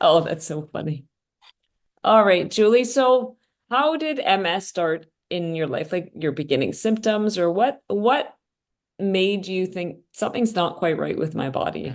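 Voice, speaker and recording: Delivery here is fairly slow. Pitch rises and falls across a very wide range. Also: woman, medium pitch for a woman. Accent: Canadian. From Canada. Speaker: podcast host. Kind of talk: podcast interview.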